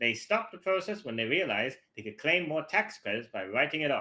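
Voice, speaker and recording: A man puts on a nasal character voice with very wide pitch swings. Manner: storytelling narration.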